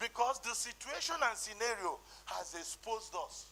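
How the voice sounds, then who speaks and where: With a Nigerian accent, a man speaks at a fairly slow pace. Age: 60s. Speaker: conference speaker. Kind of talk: conference talk.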